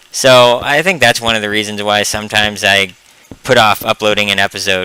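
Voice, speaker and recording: Against noticeable background noise, a man with a fairly low voice speaks at a fairly quick pace with fairly even intonation. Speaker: gaming video creator. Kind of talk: gameplay commentary. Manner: hesitant, many ums; casual conversational.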